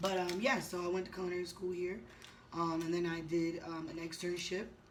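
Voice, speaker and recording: In an American accent, a woman speaks at a fairly quick pace with a fairly low pitch. Her intonation is monotone and flat, and room echo is audible. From Boston, northern US. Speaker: chef. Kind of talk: casual mukbang chat. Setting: hotel room. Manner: fast.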